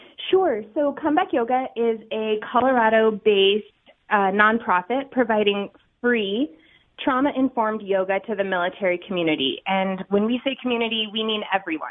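Ordinary pitch variation, a moderate pace, and a plain, everyday voice. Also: woman, fairly high pitch for a woman. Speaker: nonprofit yoga director. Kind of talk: radio interview.

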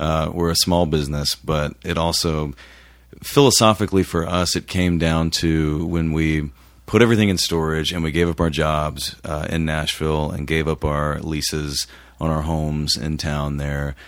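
A man speaks at a very deep, low pitch with fairly even intonation. The recording is very clean, with a silent background. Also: moderate pace. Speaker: musician in a band. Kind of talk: casual interview.

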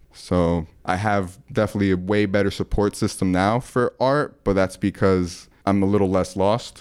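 With hardly any pauses, a man talks at a moderate pace in a normal speaking voice, his pitch fairly low and his intonation fairly even. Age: 20s. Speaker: artist and sneaker painter. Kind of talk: casual chat.

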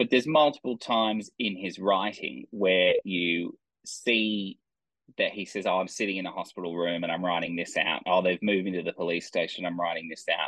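He has an Australian accent and a fairly low voice for a man. He moves at a moderate pace with ordinary pitch variation. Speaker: crime novelist. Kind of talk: author interview.

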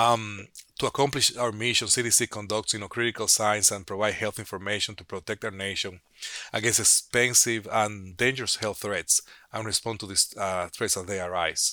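A man speaks with a bright, sharp tone, a fairly low pitch and fairly even intonation at a moderate pace. The recording is very clean and the background silent. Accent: Spanish. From Dominican Republic. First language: Spanish. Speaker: public health physician. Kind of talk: interview. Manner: halting, many fillers.

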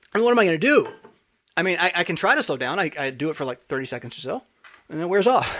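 A man's high-pitched, animated voice with an American accent, very fast and full of very wide pitch swings. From California. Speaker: pastor and podcast host. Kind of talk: casual chat.

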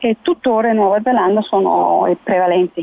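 A woman talks at a fairly quick pace with an ordinary speaking voice. Her pitch is medium, with ordinary pitch variation. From Kenya. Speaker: beekeeper and bee educator. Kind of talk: radio interview.

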